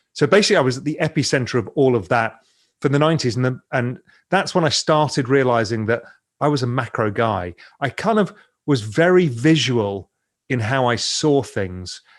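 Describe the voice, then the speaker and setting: With an English accent, a man speaks at a moderate pace and a medium pitch. His intonation is lively, and the background is quiet. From England. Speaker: investor and financial media founder. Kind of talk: podcast interview.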